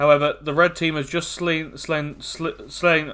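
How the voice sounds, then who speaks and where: A man with a British accent and a fairly high pitch speaks at a fairly slow pace in a bright, sharp tone. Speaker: esports caster. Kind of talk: live game commentary.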